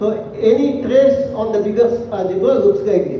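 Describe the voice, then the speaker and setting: Against noticeable background noise and audible room echo, a man speaks at a fairly slow pace in an extremely high voice with lively intonation. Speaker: mathematics lecturer. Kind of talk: lecture. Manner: slow, halting with fillers.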